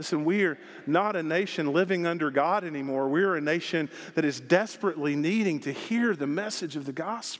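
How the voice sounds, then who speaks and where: Over a very clean recording with a silent background, a man with a Southern US accent speaks at a fairly quick pace and fairly high pitch with ordinary pitch variation. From Arkansas. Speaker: pastor. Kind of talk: sermon. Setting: church. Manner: animated.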